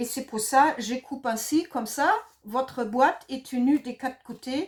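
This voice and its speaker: In a slight German accent, a woman speaks fairly slowly at a high pitch with ordinary variation. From Germany. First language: German (speaking French). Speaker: craft product demonstrator. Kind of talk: tutorial. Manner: hesitant, many fillers.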